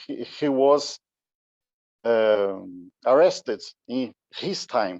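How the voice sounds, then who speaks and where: A man with a Brazilian Portuguese accent is heard in a dry, close sound with no echo. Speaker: musician, conductor. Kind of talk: conference talk. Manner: halting.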